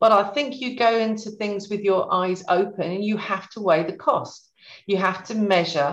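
Ordinary pitch variation marks this speech, which keeps to a moderate pace. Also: woman. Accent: English. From Suffolk, England. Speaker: beauty brand founder. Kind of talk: interview.

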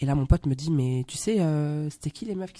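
A dark, mellow tone carries this fairly quick delivery. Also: woman. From Belgium. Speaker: actress. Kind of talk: casual interview. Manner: hesitant, many fillers.

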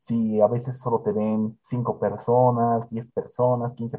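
Medium in pitch, a man talks at a very slow pace. His voice is somewhat breathy with a dark, mellow tone. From Bolivia, Cochabamba. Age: 20s. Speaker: content creator and interviewer. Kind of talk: casual interview.

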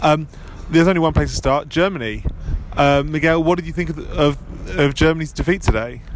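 Speaking at a fairly quick pace with an English accent, a man uses a fairly high pitch and fairly even intonation over noticeable background noise. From England. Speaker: football journalist. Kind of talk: casual chat.

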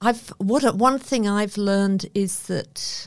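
A woman with a New Zealand accent. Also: very clean recording, silent background. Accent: New Zealand twang. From northern England, then New Zealand. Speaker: author and social researcher. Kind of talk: interview conversation.

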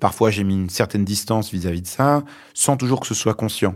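Fairly low in pitch, a man talks at a moderate pace with ordinary pitch variation. The recording is very clean, with a silent background. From France, born in Lebanon. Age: 40s. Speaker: journalist and author. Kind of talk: interview. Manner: hesitant, many fillers.

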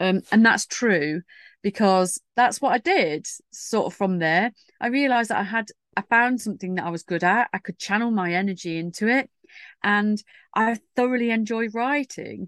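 With an unremarkable speaking voice, a woman talks at fairly high pitch and a moderate pace with ordinary pitch variation, in a dry, close sound with no echo against a quiet background. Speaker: writer and PR consultant. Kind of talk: casual interview chat.

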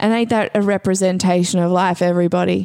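Fast talk from a woman, fairly low in pitch, with a dark, mellow tone and fairly even intonation

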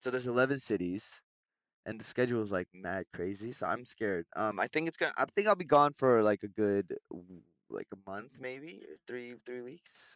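In a plain, everyday voice, a man with a Canadian accent speaks at a medium pitch with lively intonation and big swings in loudness, in a dry, close sound with no echo on a very clean recording with a silent background. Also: moderate pace. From Vancouver, Canada. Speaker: singer. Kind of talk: casual chat. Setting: studio.

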